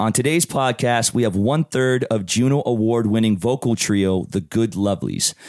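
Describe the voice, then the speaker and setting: At a fairly quick pace, a man talks in a plain, everyday voice with a medium pitch. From Hamilton, Ontario, Canada. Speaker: podcast host and singer-songwriter. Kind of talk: casual interview.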